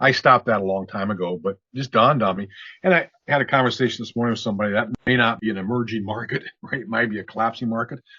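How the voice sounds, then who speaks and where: A man with a medium pitch rattles along at a very fast pace. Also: ordinary pitch variation. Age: 60s. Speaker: business owner. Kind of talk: interview. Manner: halting.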